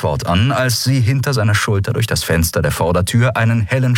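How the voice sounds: This is a natural reading voice. The text is read aloud that way throughout.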